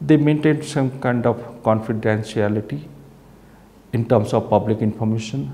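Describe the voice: A man talks in a dark, mellow tone. Audible room echo surrounds his voice. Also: medium pitch for a man, ordinary pitch variation, moderate pace.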